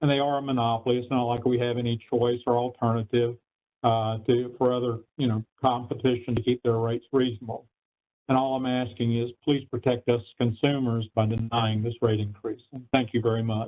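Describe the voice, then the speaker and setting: The speech moves at a fairly quick pace. Its intonation is monotone and flat. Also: man, medium pitch for a man. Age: 60s. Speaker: public hearing witness. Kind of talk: public testimony.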